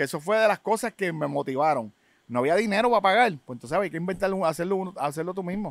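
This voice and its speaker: A man speaks at a high pitch with a Puerto Rican accent, very fast and with lively intonation, in a dry sound with no echo against a quiet background. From Puerto Rico, public housing projects. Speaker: rapper and DJ, genre pioneer; DJ. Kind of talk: casual interview. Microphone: studio mic.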